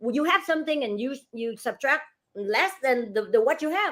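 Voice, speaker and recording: A woman speaks in an animated tone at a high pitch. Her pitch swings very widely at a fairly quick pace. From Asia, immigrated to US at fifteen. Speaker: real estate broker and franchise owner. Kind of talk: casual interview.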